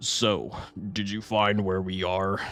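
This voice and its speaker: A man uses a put-on character voice at a fairly low pitch. His intonation stays monotone and flat. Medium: virtual streamer. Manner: casual, slangy.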